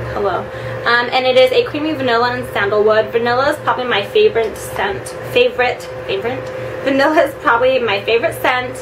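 Woman at a moderate pace, with noticeable background noise. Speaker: beauty vlogger. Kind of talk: casual vlog product review. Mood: chatty and upbeat. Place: home room. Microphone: camera far.

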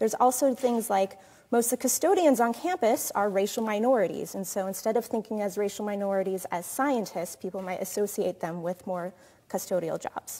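A woman speaks at a fairly quick pace. Her tone is dark and mellow. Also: ordinary pitch variation. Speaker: presenter. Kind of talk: lecture. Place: hall.

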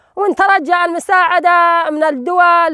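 A woman speaks at a fairly slow pace. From Syria, rural Deir ez-Zor. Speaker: displaced villager. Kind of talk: testimony.

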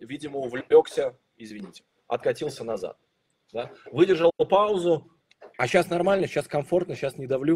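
Over light background noise, a man with a high pitch and a dark, mellow tone speaks at a fairly quick pace with ordinary pitch variation. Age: 40s. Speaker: sales trainer. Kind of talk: webinar. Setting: online broadcast. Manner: animated. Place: home room. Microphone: video call.

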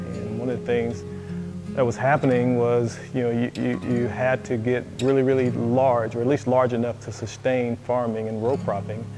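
Music sounds clearly behind the voice. The delivery keeps a moderate pace. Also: man. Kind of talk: interview answer. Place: shop. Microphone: lapel.

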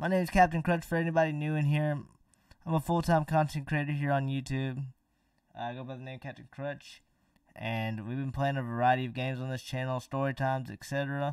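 A man with a normal speaking voice, fairly high pitch and fairly even intonation at a fairly quick pace, big swings in loudness, dry sound with no echo, quiet background. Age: 20s. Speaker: gaming streamer. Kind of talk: live gameplay stream chat. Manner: casual, laid-back. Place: home room.

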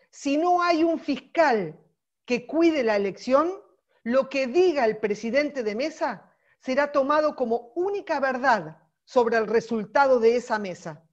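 Over a quiet background, a woman with a high pitch speaks at a fairly slow pace in an animated tone, her pitch swinging very widely. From Argentina. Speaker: political volunteer trainer; course trainer. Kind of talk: training lecture; online lecture. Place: home room. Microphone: earbuds.

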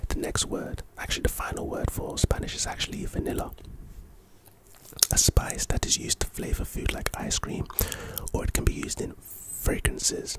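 Over loud background noise, a soft-spoken man whispers at a moderate pace with long, frequent pauses, the sound dry with no echo. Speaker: content creator. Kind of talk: reading an article aloud with casual commentary. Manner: soft close-mic ASMR whisper. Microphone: studio mic.

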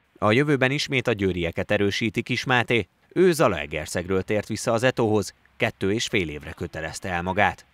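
A man with an unremarkable speaking voice talks at a moderate pace, his pitch fairly low. His intonation is lively, and the sound is dry and close with no echo. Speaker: sports reporter. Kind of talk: scripted narration.

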